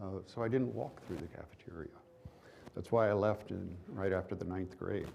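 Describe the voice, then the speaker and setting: The voice comes at a moderate pace, somewhat breathy, with a dark, mellow tone. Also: man. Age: 70s. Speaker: trial lawyer. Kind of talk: seminar talk.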